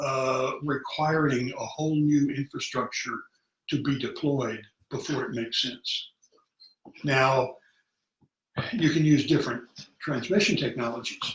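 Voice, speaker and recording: Somewhat breathy, a man speaks fairly slowly at a fairly high pitch with ordinary pitch variation and long, frequent pauses. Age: 70s. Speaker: broadband technology advocate. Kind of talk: casual discussion.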